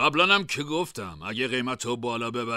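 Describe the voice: What we hear is plain reading aloud.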